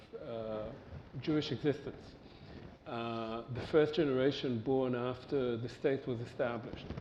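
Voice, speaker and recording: Noticeable background noise runs under a man's medium-pitched voice. He speaks at a fairly slow pace with fairly even intonation. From Israel, Tel Aviv. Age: 60s. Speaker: historian and panelist. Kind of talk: panel discussion.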